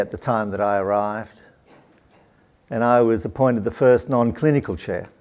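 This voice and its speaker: At a moderate pace and medium pitch, a man talks with an Australian accent. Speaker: professor and researcher. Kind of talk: lecture.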